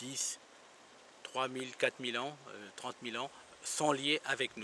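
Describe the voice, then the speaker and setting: Fairly slow, monotone, flat delivery amid noticeable background noise. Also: man, medium pitch for a man. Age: 60s. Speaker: ufologist and investigator. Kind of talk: interview. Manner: halting.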